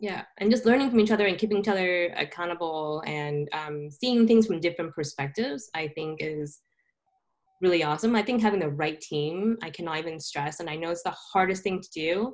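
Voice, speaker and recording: A woman with an American accent and an unremarkable speaking voice talks at a fairly quick pace in a fairly low pitch. Her intonation is lively, with big swings in loudness. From Southern California. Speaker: tech entrepreneur. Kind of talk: interview.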